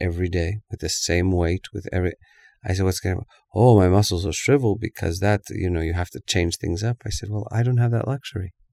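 Soft-spoken, a man with a very deep, low pitch talks at a fairly quick pace with ordinary pitch variation. The recording is very clean with a silent background, the sound dry and close with no echo. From Canada. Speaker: actor and pianist. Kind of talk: interview.

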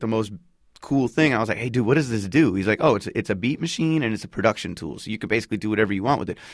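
Very fast speech in an American accent. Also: man. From United States, Palestinian family. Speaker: hip-hop artist. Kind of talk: casual interview. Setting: studio. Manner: casual, laid-back with frequent fillers.

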